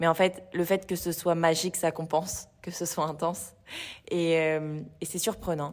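Hers is a normal speaking voice, a woman's, fairly low in pitch, with fairly even intonation and a fairly slow pace. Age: 20s. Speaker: fitness studio co-founder. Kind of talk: casual interview.

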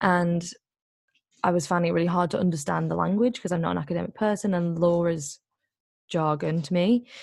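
Speaking fairly quickly with an English accent, a woman with a fairly low voice and ordinary pitch variation takes long, frequent pauses against a quiet background. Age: 20s. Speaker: activist and author. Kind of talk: interview.

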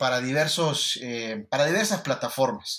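A man's bright, sharp voice, fairly high in pitch, with lively intonation and a fairly slow pace. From Honduras. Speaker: sports journalist. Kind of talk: podcast interview. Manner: halting, many repetitions.

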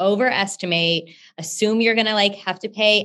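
Here is a woman with an American accent and an unremarkable speaking voice. Her pitch variation is ordinary. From Texas, Houston. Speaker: company founder. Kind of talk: interview.

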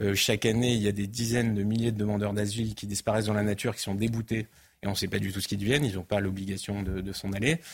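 Delivering his words at a very fast pace, a man uses a fairly low pitch and fairly even intonation. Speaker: author and immigration commentator. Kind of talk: studio debate and interview.

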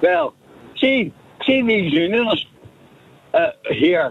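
Here a man speaks with a Northern Irish accent. He goes at a fairly slow pace with lively intonation. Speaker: radio phone-in caller. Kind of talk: phone-in call. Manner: animated.

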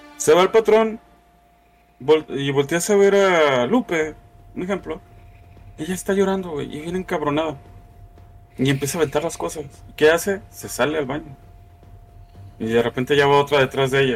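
A man with a Mexican accent and a fairly high pitch, moderate pace, ordinary pitch variation and long, frequent pauses. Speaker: podcast host. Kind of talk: casual chat.

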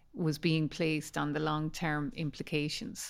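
A woman with an Irish accent speaks at a very deep, low pitch with fairly even intonation. The recording is very clean with a silent background. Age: 50s. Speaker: podcast host. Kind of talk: interview. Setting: in person.

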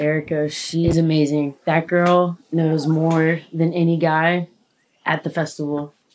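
A woman talks with an American accent. Her pitch is very deep and low, and her intonation is monotone and flat. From USA. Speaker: festival stage worker and restaurant worker. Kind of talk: casual chat. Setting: sitting together on a bed at night.

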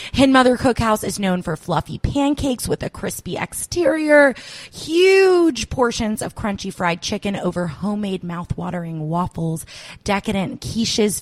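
In an American accent, a woman with an ordinary speaking voice talks at a moderate pace with lively intonation, in a dry, close sound with no echo. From Georgia, US (Johns Creek area). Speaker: podcast host. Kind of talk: scripted intro; casual chat.

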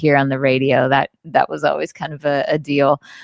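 Fairly quick speech from a woman with an American accent. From US South, Jackson, Mississippi. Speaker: singer-songwriter. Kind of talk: casual chat.

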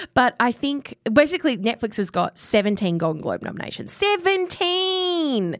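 At a moderate pace and with hardly any pauses, the speaker talks with an Australian accent and very wide pitch swings. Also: woman, high pitch for a woman. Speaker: podcast co-host. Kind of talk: casual chat.

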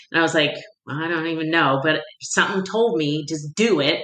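Moderate-paced speech from a woman with a fairly low, bright, sharp voice, in audible room echo. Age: 50s. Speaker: women's life coach. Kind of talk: casual interview chat.

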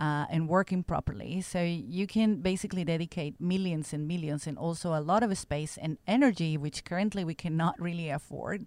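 On a very clean recording with a silent background, a woman with a Spanish accent talks at a fairly quick pace with hardly any pauses. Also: fairly low pitch for a woman, ordinary pitch variation. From Mexico. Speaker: genomics researcher. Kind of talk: interview.

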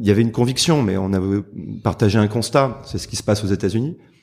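At a fairly quick pace, the voice shows ordinary pitch variation. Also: man. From southern France, Marseille. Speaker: lawyer. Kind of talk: interview. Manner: hesitant, many repetitions and fillers.

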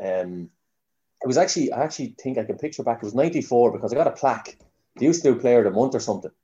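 A man with a Kildare Irish accent, dark, mellow tone and lively intonation at a very fast pace, over a quiet background. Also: medium pitch for a man. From Ireland, Newbridge, County Kildare. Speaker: Gaelic footballer. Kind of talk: casual chat.

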